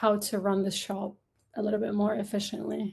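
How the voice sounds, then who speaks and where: A woman at medium pitch and a moderate pace, with an Arabic accent. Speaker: upcycled clothing brand founder. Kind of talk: podcast interview. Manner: casual, filler-heavy.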